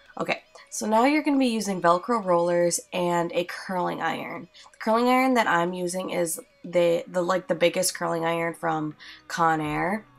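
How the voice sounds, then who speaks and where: Over music in the background, a woman with fairly low pitch speaks at a moderate pace with lively intonation. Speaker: beauty vlogger. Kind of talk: tutorial voiceover. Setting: home recording, voiceover. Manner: casual, filler-heavy.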